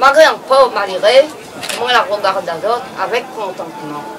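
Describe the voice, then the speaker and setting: Music runs in the background. A woman talks at a very slow pace. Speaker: elderly villager. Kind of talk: personal reminiscence.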